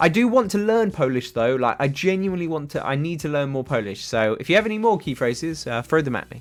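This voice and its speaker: A man with a British accent talks at a fairly quick pace with lively intonation. Music plays in the background. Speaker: paintball YouTuber streaming. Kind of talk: casual livestream chat reading comments. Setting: livestream. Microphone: better quality microphone than in videos.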